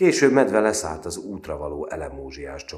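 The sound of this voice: Heard here is an unforced reading voice.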